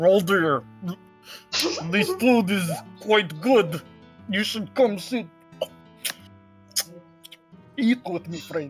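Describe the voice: A put-on character voice at a middle pitch speaks at a very slow pace with long, frequent pauses, faint music in the background.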